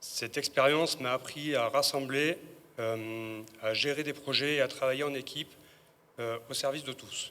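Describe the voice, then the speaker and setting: Fairly even in intonation, a man talks at a fairly slow pace in a fairly high pitch with a bright, sharp tone. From Dordogne, France. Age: 40s. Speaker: municipal election candidate. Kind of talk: public speech.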